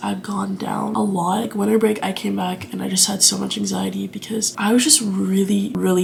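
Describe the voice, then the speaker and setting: Noticeable background noise fills the recording. A woman's words come fairly quickly. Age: young. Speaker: college student. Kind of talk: casual talk to camera. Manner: chatty, rambling.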